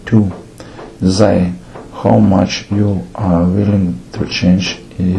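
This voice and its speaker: Over noticeable background noise, a man with a non-native accent speaks very slowly at a very deep, low pitch with ordinary pitch variation. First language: not English. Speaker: theatre director. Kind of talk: lecture.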